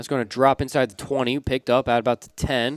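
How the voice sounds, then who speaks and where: With an ordinary speaking voice, a man talks fairly quickly at a medium pitch with fairly even intonation, in a dry, close sound with no echo. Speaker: play-by-play sports announcer. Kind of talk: live commentary. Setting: broadcast booth.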